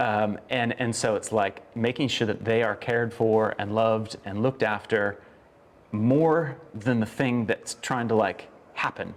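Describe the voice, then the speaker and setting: A man speaks fairly slowly at a medium pitch, with a slight Australian accent. His intonation is fairly even. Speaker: former pastor. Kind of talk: casual chat. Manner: halting.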